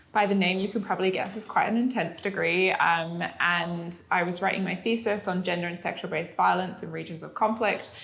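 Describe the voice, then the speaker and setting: With a British accent, a woman of medium pitch talks at a fairly quick pace with hardly any pauses and fairly even intonation, and the room echo is audible. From UK. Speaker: entrepreneur. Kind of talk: interview conversation. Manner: casual, many fillers.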